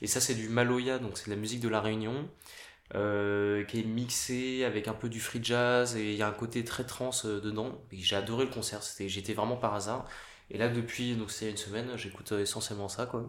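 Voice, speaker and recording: Monotone, flat delivery at a moderate pace, with audible room echo. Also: man, medium pitch for a man. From Paris, France. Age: 30s. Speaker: pianist. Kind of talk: casual interview.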